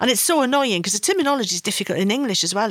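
Her pitch high and swinging very widely, a woman speaks with a Welsh accent. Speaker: podcast host. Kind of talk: interview conversation.

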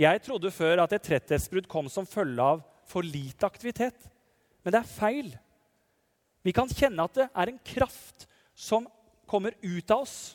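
A man speaks at a high pitch and a fairly slow pace, with very wide pitch swings and long, frequent pauses. The sound is dry and close, with no echo. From Norway, Telemark (Nissedal). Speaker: parish priest. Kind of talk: sermon.

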